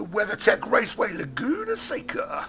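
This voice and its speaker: A man with an English accent speaks against noticeable background noise. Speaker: sim racing commentator. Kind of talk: live commentary. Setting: studio. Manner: hesitant, many fillers.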